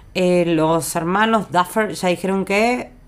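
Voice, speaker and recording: An ordinary speaking voice from a woman, fairly low in pitch with ordinary pitch variation, on a very clean recording with a silent background. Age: 40s. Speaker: podcast co-host. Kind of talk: casual chat.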